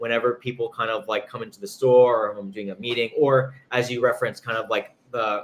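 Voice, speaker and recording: A man with a slight New York accent, talking at a fairly quick pace with hardly any pauses. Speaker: pastry chef and chocolatier. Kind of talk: interview.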